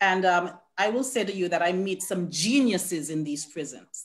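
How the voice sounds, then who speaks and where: In a Caribbean accent, a woman talks at a medium pitch. She keeps a fairly slow pace. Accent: Caribbean island. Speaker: probation officer. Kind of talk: panel talk.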